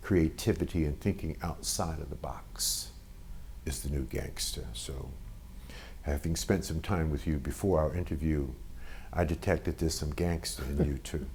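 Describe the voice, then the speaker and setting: A man with a New York accent speaks at a moderate pace in a very deep, low voice marked by vocal fry. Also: ordinary pitch variation. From Brooklyn, New York (Bed-Stuy). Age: 60s. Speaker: entrepreneur and author. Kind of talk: interview.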